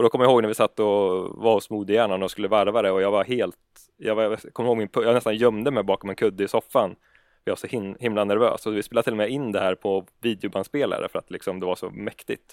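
A man's fairly low voice at a very fast pace with fairly even intonation, in a very clean recording with a silent background and a dry, close sound with no echo. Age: 30s. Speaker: gaming YouTuber. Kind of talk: casual chat.

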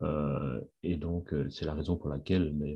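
The pitch of this man's voice is very deep and low. It comes out somewhat breathy. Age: 50s. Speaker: industrial engineer returning to work after sick leave. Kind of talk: testimony interview. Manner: halting, many repetitions and fillers.

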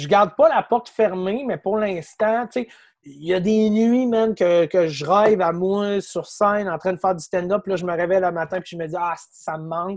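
A man's high-pitched voice in a Quebec accent, with ordinary pitch variation, big swings in loudness and a moderate pace, on a very clean recording with a silent background. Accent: Québécois French. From Quebec City. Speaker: comedian and content creator. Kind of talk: casual chat.

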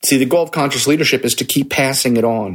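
Male speech with ordinary pitch variation, in an American accent. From US East Coast. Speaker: podcast host, leadership coach. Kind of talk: podcast monologue. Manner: upbeat, motivational.

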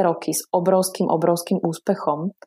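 A woman speaks with a fairly low pitch and a dark, mellow tone, keeping her intonation fairly even. The recording is very clean with a silent background. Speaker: therapist and lecturer. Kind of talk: interview.

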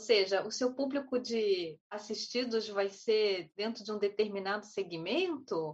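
Using a plain, everyday voice, a woman with fairly high pitch talks at a fairly slow pace with ordinary pitch variation and hardly any pauses. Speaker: panelist. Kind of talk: online panel discussion. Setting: video call.

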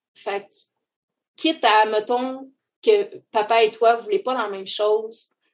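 Speaking very slowly in a Quebec accent, a woman keeps a fairly high pitch and fairly even intonation. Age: 30s. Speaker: mother sharing her birth story. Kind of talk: testimony.

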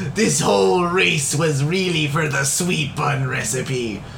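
Over clear background noise, a man uses a put-on character voice, pitched fairly high and delivered at a fairly slow pace. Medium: actual play. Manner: triumphant, gloating.

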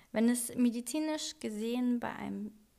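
The woman's intonation stays fairly even. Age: 30s. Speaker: podcast host. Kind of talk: solo podcast monologue. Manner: hesitant with frequent fillers.

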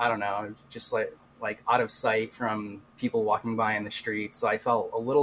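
Monotone, flat intonation from a man of medium pitch at a moderate pace, with noticeable background noise. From Rhode Island. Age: 30s. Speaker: urban explorer. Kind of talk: casual interview.

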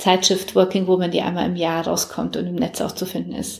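A woman's monotone, flat delivery. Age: 40s. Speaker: publisher and entrepreneur. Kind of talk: interview. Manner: hesitant, many fillers.

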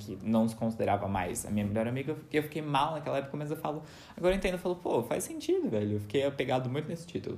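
The speaker is a man with lively intonation. He goes at a very fast pace. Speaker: podcast host. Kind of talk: casual chat.

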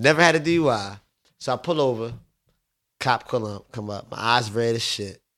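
A man with a medium pitch and ordinary pitch variation talks at a moderate pace. He leaves long, frequent pauses. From Paulsboro, New Jersey and Southwest Philadelphia. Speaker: strip club owner. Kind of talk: casual chat. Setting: studio.

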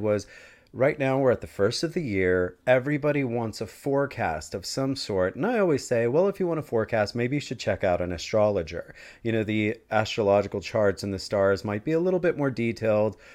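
Against a quiet background, a man with a medium pitch speaks in a warm, enthusiastic tone, his pitch swinging very widely. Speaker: podcast host. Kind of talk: casual interview chat.

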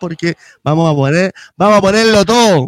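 At a moderate pace, a man speaks in an animated tone with a high pitch, the sound dry and close with no echo. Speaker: podcast host, musician. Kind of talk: casual chat.

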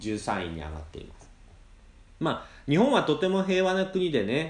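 Speaking at a fairly slow pace, a man swings very widely in pitch. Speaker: podcast host teaching Japanese. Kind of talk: casual podcast monologue, simple Japanese. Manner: slow, halting with fillers.

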